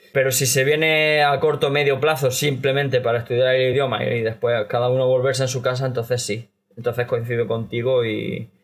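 A somewhat breathy man's voice at a medium pitch. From Spain. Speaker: Chinese language learner. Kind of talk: casual chat.

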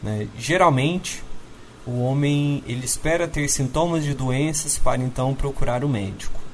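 The man's fairly high voice shows ordinary pitch variation at a moderate pace, with noticeable background noise around it. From Minas Gerais, Uberlândia. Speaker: doctor. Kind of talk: interview.

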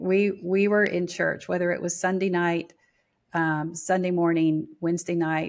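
With an American accent, a woman talks at a moderate pace in a fairly low pitch with monotone, flat intonation. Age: 60s. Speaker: spiritual teacher. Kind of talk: interview.

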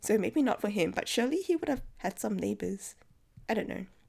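A woman's fairly high voice with vocal fry, on a very clean recording over a silent background. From Singapore. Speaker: book podcast host. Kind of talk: solo book discussion. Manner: casual, conversational.

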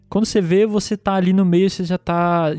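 Over music in the background, a man with a high pitch talks at a fairly quick pace with fairly even intonation, in a dry, close sound with no echo. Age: 30s. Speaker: podcast host. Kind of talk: casual chat.

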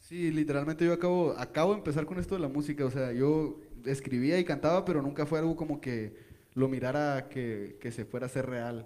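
A man's dark, mellow voice, fairly high in pitch, with ordinary pitch variation and a fairly quick pace. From Ensenada, Baja California, Mexico. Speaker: singer-songwriter. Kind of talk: interview.

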